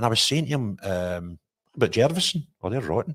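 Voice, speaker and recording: A man with a west of Scotland accent and very wide pitch swings, in a dry, close sound with no echo. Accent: Scottish (west of Scotland). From Scotland, Renfrewshire (Paisley). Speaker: podcast host, youth football coach. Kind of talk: casual interview.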